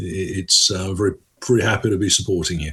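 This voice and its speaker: A somewhat breathy man's voice at a moderate pace. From England, London. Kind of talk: radio interview.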